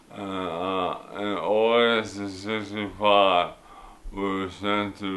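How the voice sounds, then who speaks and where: Very slowly and in a very deep, low voice, a man speaks with monotone, flat intonation amid audible room echo. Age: 60s. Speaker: war veteran. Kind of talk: testimony. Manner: halting.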